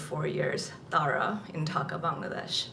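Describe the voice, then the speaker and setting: Her voice carries ordinary pitch variation. The recording has audible room echo and noticeable background noise. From Nigeria. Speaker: author. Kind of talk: reading aloud.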